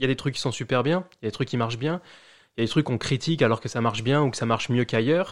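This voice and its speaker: The recording is very clean, set against a silent background. A man talks very fast, his pitch varying in an ordinary way. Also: medium pitch for a man. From France, Charente-Maritime (rural village near La Rochelle). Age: 30s. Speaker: immigrant, bank employee. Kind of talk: casual interview. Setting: at the host's home. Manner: hesitant, many fillers and repetitions.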